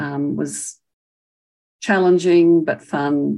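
This voice has an Australian accent. It belongs to a woman. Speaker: retired professor and speech pathologist. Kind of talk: elder life story, reflective oral history. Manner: reflective, warm and passionate, measured.

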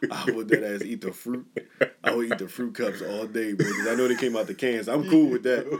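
The speech moves at a fairly quick pace with ordinary pitch variation. Noticeable background noise can be heard. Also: man, medium pitch for a man. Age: 30s. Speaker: podcast co-host. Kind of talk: event announcement; casual chat.

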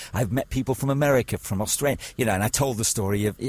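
Somewhat breathy, the man's voice shifts pitch in an ordinary way. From northern England, Chester. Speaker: radio presenter. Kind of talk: interview. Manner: halting.

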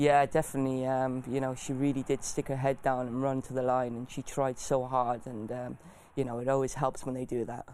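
A man with a South Wales accent talks at a fairly quick pace and medium pitch in a monotone, flat intonation. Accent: South Wales valleys. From South Wales valleys (Bargoed). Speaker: jockey. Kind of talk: interview. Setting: studio. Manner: hesitant, many fillers.

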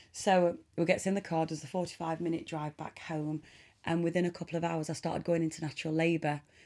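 Speaking at a fairly quick pace in an East Midlands accent, a woman has a fairly low pitch, a dark, mellow tone and monotone, flat intonation, in a very clean recording with a silent background. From Nottinghamshire, England. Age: 30s. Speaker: charity ambassador and film producer. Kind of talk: interview testimony.

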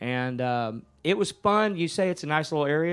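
A man with a Texan accent speaks at a moderate pace with lively intonation and a fairly high pitch. The background is quiet. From Texas, Ennis near Dallas. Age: 50s. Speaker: musician. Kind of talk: casual chat.

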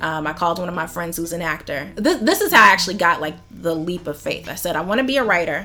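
A fairly low-pitched woman's voice at a very fast pace, with hardly any pauses, ordinary pitch variation and noticeable background noise. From US South, Atlanta. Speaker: screenwriter and painter. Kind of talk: casual chat.

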